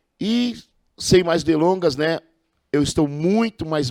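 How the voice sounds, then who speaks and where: A man at a fairly slow pace, his voice dry and close with no echo on a very clean recording with a silent background. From Brazil, Osasco (São Paulo). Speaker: podcast host, former amateur football referee. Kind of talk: podcast interview.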